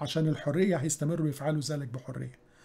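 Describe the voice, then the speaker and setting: This is a man speaking. He has an Egyptian accent. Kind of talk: religious lecture on current events.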